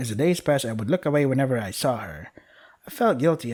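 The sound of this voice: An unforced reading voice.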